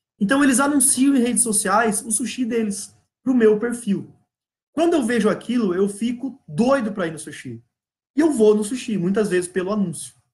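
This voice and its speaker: A man speaks in an animated tone, his voice high for a man, with ordinary pitch variation. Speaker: business coach. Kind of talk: live online class. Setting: live stream. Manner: fast. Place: office. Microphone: webcam.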